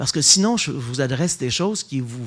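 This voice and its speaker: Delivery is fairly slow, with an animated tone and lively intonation. The recording is very clean, with a silent background. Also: man. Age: 60s. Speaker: Dominican friar and theology lecturer. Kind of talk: public lecture.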